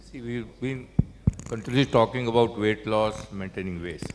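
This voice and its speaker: A medium-pitched male voice against noticeable background noise. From rural north India. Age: 70s. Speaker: physician, session chairperson. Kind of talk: panel discussion.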